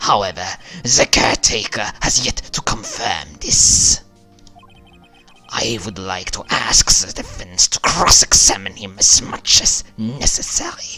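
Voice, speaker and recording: A man's put-on character voice, fairly low in pitch and fairly slow in pace, with faint music in the background. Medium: game stream. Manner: formal, haughty.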